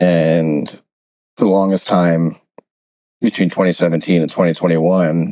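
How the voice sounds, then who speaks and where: With a dry, close sound and no echo, a man talks at a moderate pace in a very deep, low pitch, his dark, mellow tone monotone and flat in intonation. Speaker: bitcoin investor and podcaster. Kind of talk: interview. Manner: calm, relaxed.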